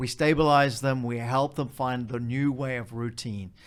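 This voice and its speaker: A man with an Australian accent. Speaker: charity executive. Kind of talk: interview.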